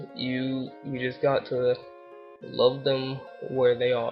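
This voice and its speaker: A man speaks quietly. Music plays in the background. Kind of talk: casual talk to camera. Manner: quiet, low volume; flat, monotone.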